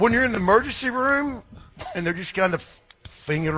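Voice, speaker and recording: Over noticeable background noise, a man with an American accent speaks at a moderate pace, his pitch swinging very widely. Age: 60s. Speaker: former sports radio host. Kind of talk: casual chat.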